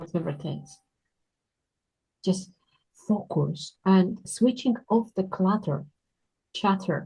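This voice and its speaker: The voice is somewhat breathy and dark and mellow in tone, with a non-native accent and ordinary pitch variation. It moves at a very slow pace, with long pauses coming often. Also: woman, medium pitch for a woman. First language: not English. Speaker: children's book author. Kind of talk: casual interview.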